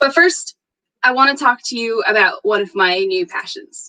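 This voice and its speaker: A woman with an American accent, high-pitched and animated, her pitch swinging very widely at a moderate pace, bright and sharp in tone, recorded dry and close with no echo. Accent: American, unchanged. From northeastern US. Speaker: security conference speaker. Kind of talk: conference talk. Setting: virtual meetup.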